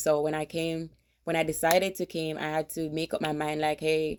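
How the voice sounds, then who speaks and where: A woman with a Jamaican accent speaks at a fairly quick pace in a very deep, low pitch and a dark, mellow tone, on a very clean recording with a silent background. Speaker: vlogger, army veteran. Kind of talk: casual vlog.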